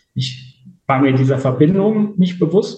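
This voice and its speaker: A man speaks in a dark, mellow tone with vocal fry. His intonation is lively. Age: 50s. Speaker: interview guest. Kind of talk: personal testimony.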